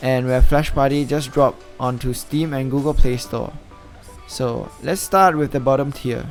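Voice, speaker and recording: A man with a non-native accent and fairly even intonation, music in the background. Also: medium pitch for a man, moderate pace. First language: not English. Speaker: gaming YouTuber. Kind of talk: casual gaming commentary to camera. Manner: hesitant, some stuttering.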